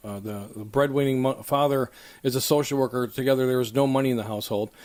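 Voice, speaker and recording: Over noticeable background noise, a man with a Buffalo accent speaks at a medium pitch with ordinary pitch variation. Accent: Buffalo-area American English. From western New York (Lackawanna). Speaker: political candidate, former mayor. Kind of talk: interview. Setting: studio.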